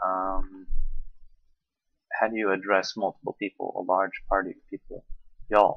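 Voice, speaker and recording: Music runs in the background. A man talks at a fairly slow pace. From US South (South Carolina). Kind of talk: casual talk to camera.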